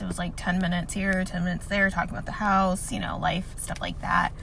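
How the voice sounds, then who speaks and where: There is audible room echo on this woman's voice. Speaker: tech student and vlogger. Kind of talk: personal vlog testimony. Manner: halting.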